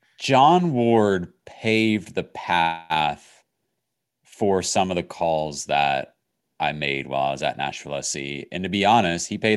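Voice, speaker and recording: Recorded very cleanly against a silent background, a man with an American accent speaks at a fairly slow pace with very deep, low pitch and ordinary pitch variation. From Virginia, US. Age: 30s. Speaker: sports broadcaster. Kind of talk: interview conversation.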